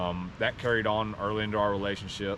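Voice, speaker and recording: Audible room echo surrounds a man talking very fast. His pitch is very deep and low. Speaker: vlogger hiking with his partner. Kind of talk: casual personal talk on a hike. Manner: halting, many fillers.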